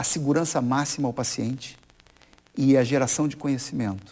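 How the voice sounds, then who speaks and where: A man with a Rio de Janeiro accent speaks at a fairly high pitch, his tone dark and mellow. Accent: Rio de Janeiro (carioca). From Brazil, Rio de Janeiro.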